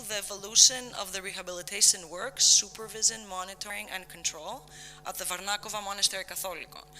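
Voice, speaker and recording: The speech comes at a fairly quick pace, with noticeable noise in the background. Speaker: conference presenter, researcher. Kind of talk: conference presentation. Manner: fast.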